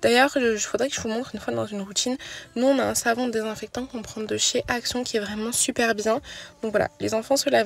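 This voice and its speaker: A soft-spoken woman talks at a fairly quick pace. Background noise is noticeable. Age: 20s. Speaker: mom vlogger. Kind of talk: voice-over narration. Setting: in a car. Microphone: sound may be poor.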